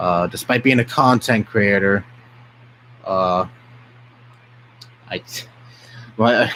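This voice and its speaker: A man talks at a very slow pace and fairly low pitch, leaving long, frequent pauses. Noticeable background noise is present. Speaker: content creator, streamer. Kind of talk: casual live stream chat. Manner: usually low, flat delivery.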